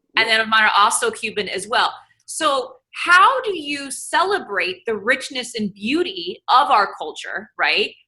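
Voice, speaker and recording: A woman with a high pitch uses a raised, projected voice. Her tone is bright and sharp, and her pitch swings very widely. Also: fairly slow pace. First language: Spanish at home, bilingual. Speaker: panel moderator, TV host. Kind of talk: panel discussion.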